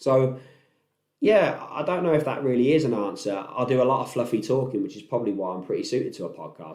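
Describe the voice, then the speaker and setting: A man's very fast speech at a medium pitch, dark and mellow in tone, with audible room echo. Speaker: podcast host, entrepreneur. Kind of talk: casual monologue. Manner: loud; laid-back.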